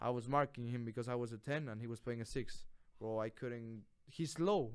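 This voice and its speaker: A moderate pace in a Spanish accent, with ordinary pitch variation. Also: man, medium pitch for a man. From Mexico. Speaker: college soccer player. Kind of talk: casual interview. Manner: animated.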